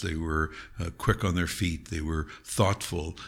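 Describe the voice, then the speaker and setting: Heard in a very clean recording with a silent background, a man with a Canadian accent speaks at a fairly slow pace. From Ontario, Canada (Niagara Falls). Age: 70s. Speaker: criminal defense lawyer. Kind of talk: interview. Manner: halting, frequent fillers.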